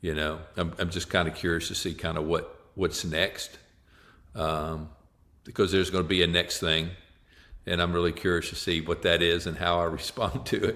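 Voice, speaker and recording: Very deep, low pitch from a man with a bright, sharp tone and monotone, flat intonation, on a very clean recording with a silent background. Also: moderate pace. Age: 60s. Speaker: psychologist and author. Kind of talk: podcast interview.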